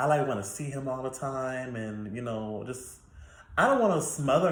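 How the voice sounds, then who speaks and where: Speaking at a fairly slow pace, the man has a medium pitch and a somewhat breathy sound. His pitch varies in an ordinary way, and audible room echo surrounds him. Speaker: YouTuber. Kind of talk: casual Q&A monologue.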